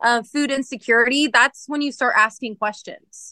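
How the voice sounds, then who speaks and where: A raised, projected voice with an American accent and a bright, sharp tone, dry and close with no echo over a quiet background. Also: woman. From central California. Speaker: dairy farmer and country singer. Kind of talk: interview. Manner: casual, many fillers.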